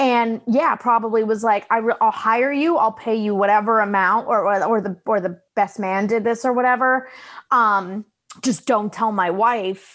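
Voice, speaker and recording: Over a quiet background, a woman speaks at a moderate pace in an unremarkable speaking voice with ordinary pitch variation. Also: fairly high pitch for a woman. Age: 20s. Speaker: comedian. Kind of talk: casual chat.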